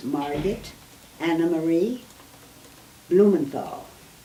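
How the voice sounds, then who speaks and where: Amid audible room echo, a woman talks at a very slow pace with long, frequent pauses. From Germany, Berlin. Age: 80s+. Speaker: Holocaust survivor. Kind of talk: oral history interview.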